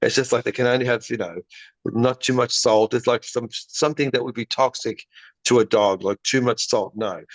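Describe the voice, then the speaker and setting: A man speaks at a moderate pace, the sound dry and close with no echo and the background quiet. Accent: Australian. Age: 60s. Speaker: pet dental care business founder. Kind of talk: podcast interview.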